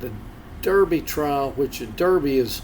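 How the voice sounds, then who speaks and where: Talking at a fairly slow pace, a man with a North Carolina accent and medium pitch comes through over noticeable background noise. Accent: Southern US, North Carolina. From North Carolina (Statesville). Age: 60s. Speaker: beagle houndsman. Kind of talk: interview.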